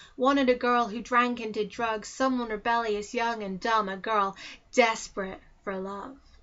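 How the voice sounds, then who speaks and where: A woman talks at a moderate pace with a fairly high pitch. It is a plain, everyday voice. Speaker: spoken word poet. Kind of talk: spoken word poetry.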